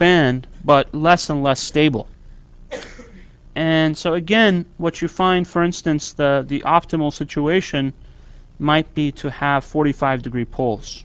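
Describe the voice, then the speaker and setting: A man with a plain, everyday voice, fairly high-pitched, at a fairly slow pace with ordinary pitch variation. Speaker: university lecturer. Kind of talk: lecture.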